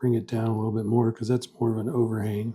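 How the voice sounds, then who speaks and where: A man whispers, soft-spoken throughout. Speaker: pen and ink artist. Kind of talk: drawing tutorial. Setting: home art studio. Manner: soft-spoken, half whispering.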